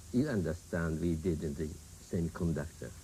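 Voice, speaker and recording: Dark and mellow in tone, a man speaks with a Japanese accent. His pace is fairly slow. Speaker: prime minister of Japan. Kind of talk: TV interview answer.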